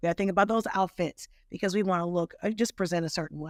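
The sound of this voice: Speaking fast, a woman with a fairly low voice varies her pitch in an ordinary way, the sound dry and close with no echo.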